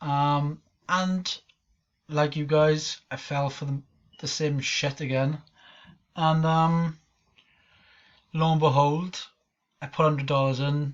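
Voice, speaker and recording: A man with a Welsh accent and a fairly high pitch speaks in a monotone, flat intonation at a very slow pace, with long, frequent pauses. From Wales. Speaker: online marketer and scam-exposing vlogger. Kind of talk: casual vlog rant. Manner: casual, hesitant with many ums.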